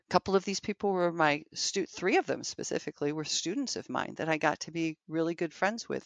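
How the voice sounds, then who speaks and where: Here a woman talks at a moderate pace. Her pitch is fairly low, with ordinary variation. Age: 60s. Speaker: childbirth educator. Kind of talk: casual chat. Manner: halting.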